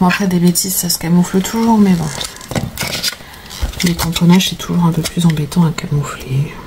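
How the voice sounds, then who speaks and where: A woman talks at a moderate pace with a fairly low pitch and long, frequent pauses. Noticeable background noise is present. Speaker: crafter. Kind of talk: tutorial. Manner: casual with many hesitations.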